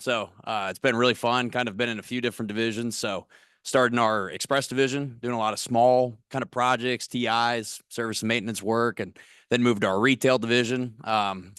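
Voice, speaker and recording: Against a quiet background, a man with a Missouri accent speaks at a moderate pace. His medium pitch stays monotone, with flat intonation. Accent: Missouri rural twang. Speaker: corporate recruiter. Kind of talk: career workshop talk.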